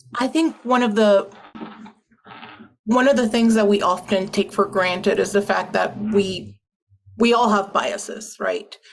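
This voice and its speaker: With a Puerto Rican accent, a woman speaks in a somewhat breathy voice broken by long, frequent pauses. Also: medium pitch for a woman, fairly even intonation, fairly slow pace, very even loudness. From Puerto Rico. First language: Spanish. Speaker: panelist, lawyer. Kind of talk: panel discussion.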